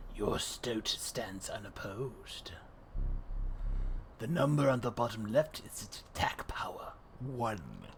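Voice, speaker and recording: A man whispers in a put-on character voice at a fairly slow pace. His loudness swings widely, broken by long, frequent pauses. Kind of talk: ominous game host. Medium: game stream. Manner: slow, solemn, instructive.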